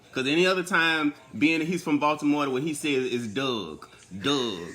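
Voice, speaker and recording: A man with an American accent, fairly high pitch, lively intonation and a moderate pace. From US Deep South. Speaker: livestream co-host. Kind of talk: casual chat. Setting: live stream from an Airbnb.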